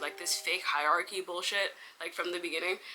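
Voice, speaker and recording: Speaking at a very fast pace, a woman uses a medium pitch. Noticeable background noise runs under her voice. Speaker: vlogger. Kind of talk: casual storytelling vlog.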